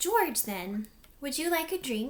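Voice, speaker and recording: A put-on character voice sounds strained and swings very widely in pitch. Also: woman. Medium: read story. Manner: strained, falsely bright.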